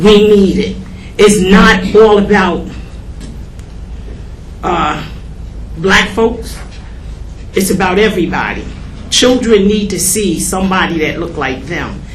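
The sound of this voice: A woman's fairly low voice, slow with long, frequent pauses and lively intonation, in a room with audible echo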